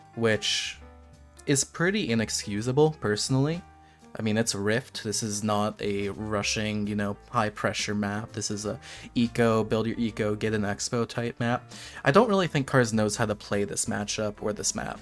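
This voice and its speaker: Music plays behind a man speaking at a moderate pace. His pitch is medium, with ordinary variation. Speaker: gamer. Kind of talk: gameplay commentary.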